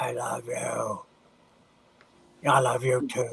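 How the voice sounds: The man performs a put-on character voice. It comes out gruff and raspy.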